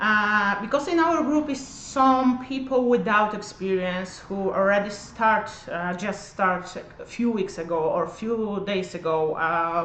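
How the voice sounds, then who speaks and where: With ordinary pitch variation, a woman speaks at a very slow pace amid noticeable background noise and audible room echo. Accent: non-native. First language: not English. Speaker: cosmetic treatment practitioner. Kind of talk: livestream tutorial. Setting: livestream in treatment room. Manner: halting, many fillers.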